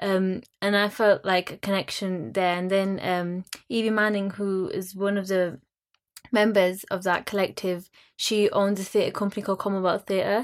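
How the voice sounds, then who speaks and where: A woman with a West Yorkshire accent speaks at a medium pitch and a moderate pace. Her intonation is monotone and flat in a very clean recording with a silent background. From Bradford, West Yorkshire. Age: young. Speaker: theatre producer. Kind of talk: panel discussion.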